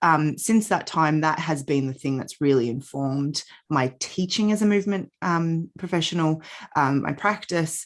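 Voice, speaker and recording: A woman speaks in a very deep, low pitch with ordinary pitch variation. Her pace is moderate, and the background is quiet. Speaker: yoga and Pilates teacher. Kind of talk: podcast interview. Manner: hesitant, many fillers.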